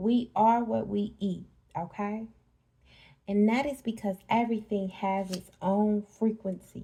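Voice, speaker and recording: At a fairly slow pace, a woman speaks in a medium pitch with a dark, mellow tone, fairly even intonation and a somewhat breathy quality. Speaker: spiritual reader. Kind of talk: casual spiritual talk to camera.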